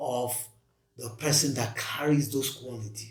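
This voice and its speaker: A man talks with audible room echo. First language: not English. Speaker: podcast co-host. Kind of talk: casual discussion.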